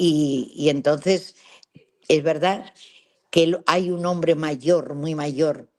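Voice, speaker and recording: Speaking very slowly with long, frequent pauses, a woman uses a very deep, low pitch and fairly even intonation. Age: 80s+. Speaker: travel adventurer. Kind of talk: interview storytelling. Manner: halting.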